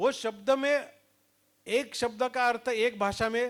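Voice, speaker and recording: Here is a man speaking. He has a Marathi accent. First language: Marathi (speaking Hindi). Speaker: leadership trainer. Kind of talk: lecture. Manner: mixes Hindi and English.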